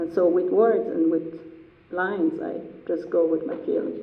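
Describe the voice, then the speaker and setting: Speaking at a fairly slow pace in an Iranian accent, a woman is heard with audible room echo and noticeable background noise. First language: Persian. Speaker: artist. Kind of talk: artist talk Q&A.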